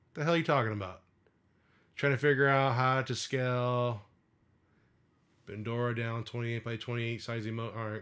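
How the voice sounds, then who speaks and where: With a strong Midwestern accent, the speaker talks at a fairly quick pace in fairly even intonation, broken by long, frequent pauses. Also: man, medium pitch for a man. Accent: thick Midwestern (self-described). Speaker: streamer building custom controllers. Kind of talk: live stream casual chat. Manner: casual, hesitant with many fillers.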